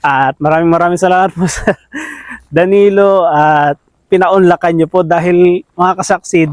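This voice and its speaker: Against a quiet background, a man speaks at a fairly slow pace in a high pitch. His pitch varies in an ordinary way, and the sound is dry with no echo. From Philippines. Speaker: farming vlogger. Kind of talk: casual interview chat. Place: open country. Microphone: phone near.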